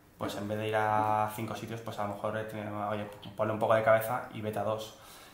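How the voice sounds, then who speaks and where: A man speaks in a flat, monotone way, with noticeable background noise and audible room echo. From Spain, Barcelona. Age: 20s. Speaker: engineering consultant. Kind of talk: interview. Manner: halting.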